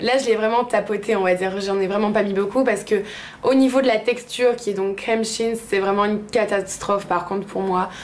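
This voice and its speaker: A woman's medium-pitched, monotone, flat voice at a fairly quick pace, with noticeable background noise and audible room echo. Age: 20s. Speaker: beauty vlogger. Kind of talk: product review. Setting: bathroom. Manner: casual with frequent hesitations.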